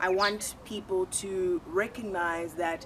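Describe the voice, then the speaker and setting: A woman speaking with a South African accent. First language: isiXhosa. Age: 20s. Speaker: YouTuber and university student. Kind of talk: channel introduction monologue.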